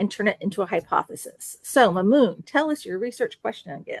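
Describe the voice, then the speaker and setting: The sound is dry and close with no echo. A woman uses a normal speaking voice with lively intonation. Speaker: university instructor. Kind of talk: lecture.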